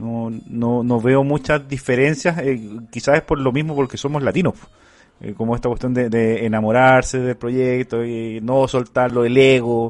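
A man with a Chilean accent speaks at a fairly slow pace and medium pitch. His intonation stays fairly even. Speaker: podcast host. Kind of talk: casual interview.

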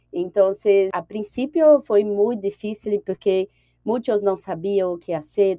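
An unremarkable speaking voice at a fairly slow pace with ordinary pitch variation, dry and close with no echo. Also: woman. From Brazil, Brasília. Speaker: HR recruiter and digital nomad. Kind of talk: interview.

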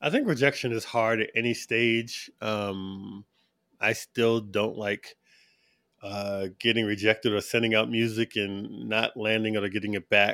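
In a very clean recording with a silent background, a man with a slight American accent speaks at a fairly slow pace, his fairly low voice bright and sharp but monotone and flat. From New York City. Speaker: sync agent and music producer. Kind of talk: interview conversation.

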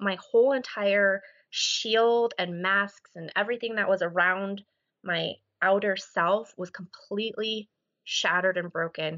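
This woman has a normal speaking voice at medium pitch. She talks at a fairly slow pace. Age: 30s. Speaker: podcast listener sharing recovery story. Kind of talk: interview conversation.

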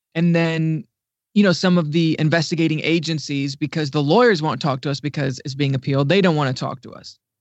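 A plain, everyday voice from a man with an American accent, fairly high pitch, ordinary pitch variation and a fairly quick pace. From Ohio, US Midwest. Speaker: digital news writer and editor. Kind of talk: podcast interview.

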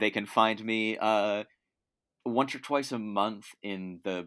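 A man's fairly low-pitched voice on a very clean recording with a silent background. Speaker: podcast guest. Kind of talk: casual chat. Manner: animated, laughing often.

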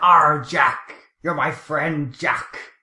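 A raspy, put-on character voice at a middle pitch

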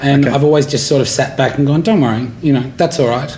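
A man with an Australian accent, fairly high-pitched, talking at a fairly quick pace, with audible room echo and noticeable background noise. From Australia, rural area near Canberra. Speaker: stand-up comedian. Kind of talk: casual interview.

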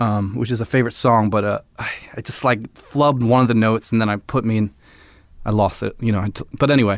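A man with an American accent speaks at a very fast pace, his medium-pitched voice using fairly even intonation. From Philadelphia. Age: 30s. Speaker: musician. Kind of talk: casual chat.

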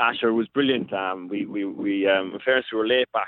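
Here a man speaks in an Irish accent. His voice sits at a fairly low pitch. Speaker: hurler. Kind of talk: interview. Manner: halting.

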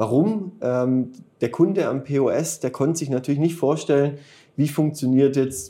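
The male speaker has a dark, mellow tone and talks at a moderate pace. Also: very clean recording, silent background. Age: 30s. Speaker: start-up founder and managing director. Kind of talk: interview. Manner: halting, many filler sounds.

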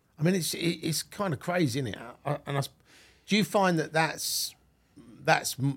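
Somewhat breathy, a man with a London accent speaks at a moderate pace in a very clean recording with a silent background. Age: 50s. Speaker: podcast host. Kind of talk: casual interview chat. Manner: halting, many fillers.

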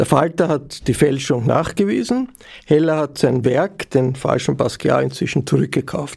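A man speaks with an Austrian accent. His pace is moderate. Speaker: podcast host. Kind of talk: interview. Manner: formal.

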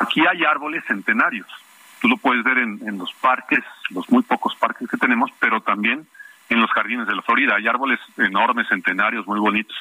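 There is noticeable background noise. A man talks through it at a moderate pace. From Mexico City. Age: 60s. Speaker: neighborhood activist. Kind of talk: phone interview.

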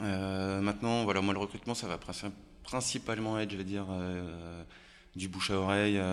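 This man's pitch sits fairly low. He speaks at a moderate pace with monotone, flat intonation. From France, Haute-Savoie (Annemasse). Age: 30s. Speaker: bar owner. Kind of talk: casual interview.

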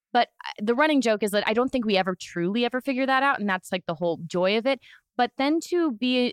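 Lively in intonation, a woman talks at a fairly quick pace over a quiet background. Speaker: podcast host. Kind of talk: casual interview chat. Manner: loud, excited.

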